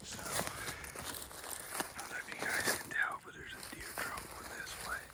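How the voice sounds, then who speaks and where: A man whispering, with audible room echo and noticeable background noise. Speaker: hunting vlogger. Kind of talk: outdoor vlog narration. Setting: outdoors in the woods.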